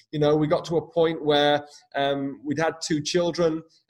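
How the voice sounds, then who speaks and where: A man speaks in a somewhat breathy voice with fairly high pitch. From UK. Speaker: hairdresser, coach, podcast host. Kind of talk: interview, casual chat.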